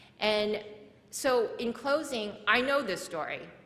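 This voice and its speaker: A woman speaks with a Korean accent and ordinary pitch variation. Noticeable background noise and audible room echo are present. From South Korea, moved to US at age eight. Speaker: nonprofit founder and speaker. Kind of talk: conference talk.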